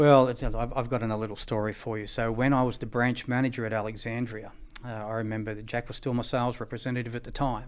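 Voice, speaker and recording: A man with an Australian accent speaks at a very fast pace with hardly any pauses and monotone, flat intonation. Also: medium pitch for a man. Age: 50s. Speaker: equipment company managing director. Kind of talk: interview. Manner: halting, many fillers.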